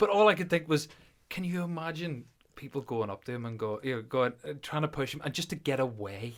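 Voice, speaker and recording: A man talks at a fairly quick pace with lively intonation in a Belfast accent. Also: fairly high pitch for a man. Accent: Northern Irish (Belfast area). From Northern Ireland, near Belfast. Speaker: podcast co-host, powerlifter. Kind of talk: casual chat.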